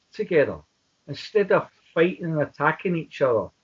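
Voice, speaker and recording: A man with a Glaswegian accent, high pitch and moderate pace. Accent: Glaswegian Scottish. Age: 60s. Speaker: independence activist. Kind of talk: interview.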